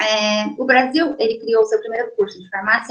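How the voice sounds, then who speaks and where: Lively intonation marks a woman speaking at a moderate pace. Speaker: pharmacist giving a career talk. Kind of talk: online career lecture. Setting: online video presentation. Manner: hesitant, many filler sounds.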